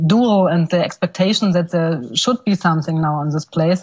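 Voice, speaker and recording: A somewhat breathy woman's voice, fairly low in pitch, with a non-native accent. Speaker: film director. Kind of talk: Q&A interview. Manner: halting, many fillers and repeats. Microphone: poor connection, can't hear host.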